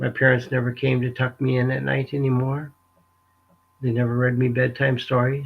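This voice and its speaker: A man speaks in a somewhat breathy voice with monotone, flat intonation. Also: medium pitch for a man, moderate pace. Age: 60s. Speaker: abuse survivor sharing his story. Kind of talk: testimony. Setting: live webinar. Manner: halting, emotional.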